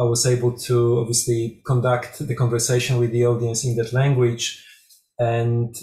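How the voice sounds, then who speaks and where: A man's somewhat breathy voice with a Polish accent, dark and mellow in tone, medium in pitch, at a moderate pace, with audible room echo. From Poland. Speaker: music researcher and performer. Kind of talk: conference presentation.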